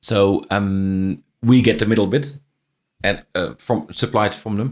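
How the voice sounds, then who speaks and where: A man with a Dutch accent speaks at a fairly slow pace in a fairly low pitch, with ordinary pitch variation, on a very clean recording with a silent background. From Netherlands. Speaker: franchise business owner. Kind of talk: interview conversation. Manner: halting, with frequent repetitions.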